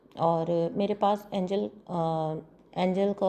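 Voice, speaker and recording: A soft-spoken woman at a very slow pace, dark and mellow in tone, medium in pitch, with fairly even intonation. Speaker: tarot card reader. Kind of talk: tarot reading with promotion. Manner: soft, low volume.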